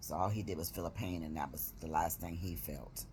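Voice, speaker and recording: A woman with a very deep, low pitch and vocal fry at a moderate pace, with audible room echo. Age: 60s. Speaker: vlogger. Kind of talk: casual vlog update. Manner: rambling, conversational.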